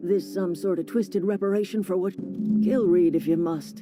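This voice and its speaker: A put-on character voice at middle pitch and moderate pace, with loud music in the background. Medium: video game. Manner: blunt, cold.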